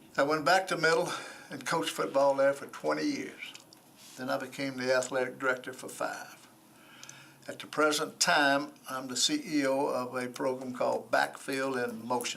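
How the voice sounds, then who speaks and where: A man talks at a moderate pace with a Tennessee accent. Some room echo can be heard. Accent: US Southern (Tennessee). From Nashville, Tennessee. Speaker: former football coach, nonprofit director, board applicant. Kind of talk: interview. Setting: council committee room.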